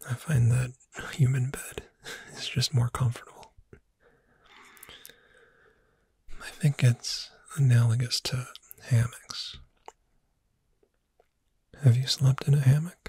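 A soft-spoken voice moves at a fairly slow pace with long, frequent pauses, in a dry recording with no echo. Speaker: roleplay voice actor. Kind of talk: ASMR roleplay, soft-spoken. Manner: soft-spoken ASMR character voice.

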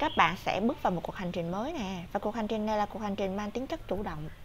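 A woman of medium pitch talks very fast in an animated tone, somewhat breathy and with lively intonation, against light background noise. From Vietnam. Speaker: tarot reader. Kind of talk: tarot reading monologue.

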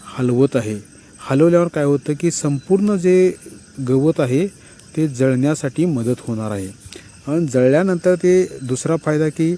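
Fairly high in pitch with ordinary pitch variation, a man speaks in a plain, everyday voice. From Maharashtra, rural Sangli area (Dhalewadi village). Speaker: YouTuber. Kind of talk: casual vlog talk to viewers. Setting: outdoors on a farm.

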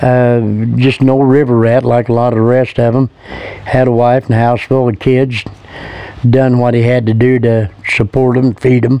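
Relaxed in tone, a man with a Midwestern US accent talks at a fairly slow pace with fairly even intonation in a dry sound with no echo. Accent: rural Midwestern American. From Indiana, USA. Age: 70s. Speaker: local man recalling the past. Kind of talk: interview answer. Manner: relaxed, folksy, hesitant. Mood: relaxed, fond reminiscing. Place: garden.

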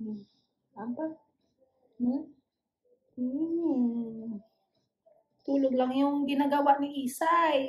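At a very slow pace with long, frequent pauses, a woman speaks in a high pitch and fairly even intonation against a quiet background. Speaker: family vlogger. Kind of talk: casual vlog chat. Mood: calm, gentle. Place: home room. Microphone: phone near.

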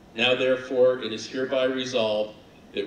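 Through audible room echo and light background noise, a man speaks at a fairly quick pace with monotone, flat intonation. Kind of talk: formal resolution reading. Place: hall. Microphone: podium.

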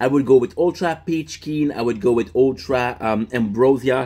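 A man with a French accent, medium pitch, and ordinary pitch variation. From France. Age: 30s. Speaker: livestreamer. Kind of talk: casual livestream chat. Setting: live stream. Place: home room. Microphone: phone near.

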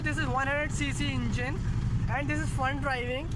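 A man's voice comes through dry with no echo, under loud background noise. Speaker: vehicle vlogger driving. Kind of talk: casual vlog review. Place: car.

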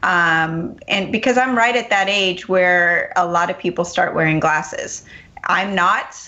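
A woman's normal speaking voice at a medium pitch and fairly slow pace, with ordinary pitch variation and very even loudness. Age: 40s. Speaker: radio health show host and health coach. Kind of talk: talk radio interview.

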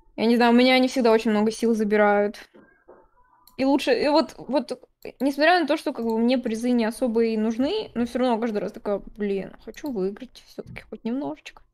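At a fairly quick pace, a woman with a fairly high pitch speaks in a normal speaking voice with ordinary pitch variation. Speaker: digital artist. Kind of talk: casual chat. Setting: live stream.

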